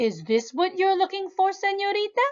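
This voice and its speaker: Putting on a squeaky character voice at an extremely high pitch, a woman talks at a moderate pace. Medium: read story. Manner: friendly, brisk.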